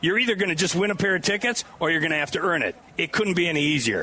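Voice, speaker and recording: With noticeable background noise behind him, a man speaks very fast in a raised, projected voice, his pitch high and his pitch variation ordinary. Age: 70s. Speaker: radio host. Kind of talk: live radio broadcast. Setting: outdoor booth at state fair with crowd. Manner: animated.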